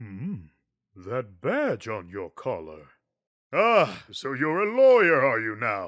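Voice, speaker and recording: A man's put-on character voice at medium pitch, fairly slow, on a very clean recording with a silent background. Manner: pompous, theatrical.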